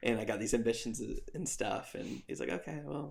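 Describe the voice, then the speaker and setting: A man's voice with vocal fry and lively intonation at a moderate pace. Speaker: former youth pastor. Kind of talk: casual interview conversation. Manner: loud and boisterous; halting, many fillers.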